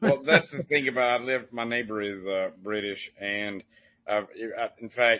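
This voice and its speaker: With a strong Southern Appalachian accent, a man talks at a fairly quick pace, his pitch fairly low and his intonation fairly even. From Appalachian foothills, US South. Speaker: podcast host. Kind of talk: casual interview chat.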